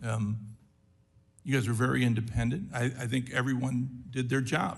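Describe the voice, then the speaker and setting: A somewhat breathy man speaks with audible room echo around him. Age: 60s. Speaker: congressman. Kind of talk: congressional hearing questioning. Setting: committee hearing room. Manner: animated.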